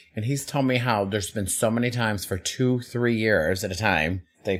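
Lively intonation lifts an unremarkable speaking voice as a man talks at a medium pitch. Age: 40s. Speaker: drag performer and podcast co-host. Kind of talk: casual chat.

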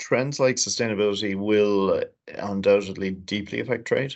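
A man speaks in an Irish accent at a moderate pace. His intonation stays fairly even. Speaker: chief executive of a trade agency. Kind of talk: interview.

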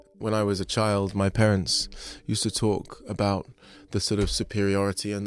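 A man with a London accent speaks at a moderate pace, his pitch fairly low and his intonation monotone and flat. The recording is very clean, with a silent background. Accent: southern English, London. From London (Kentish Town). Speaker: artist, sculptor. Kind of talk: interview.

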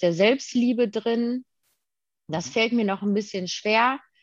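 A woman speaks at a fairly high pitch with ordinary pitch variation, in a normal speaking voice. The background is quiet. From Germany, Detmold (Westphalia). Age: 20s. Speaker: daycare educator sharing recovery from eating disorder. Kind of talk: interview.

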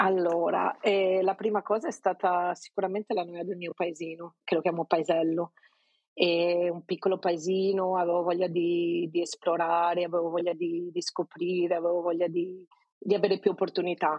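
A woman speaks in a Venetian accent at a moderate pace. Her pitch is fairly low and her intonation monotone and flat. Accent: Venetian Italian. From Veneto, province of Venice. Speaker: Italian emigrant interviewee. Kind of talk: casual interview.

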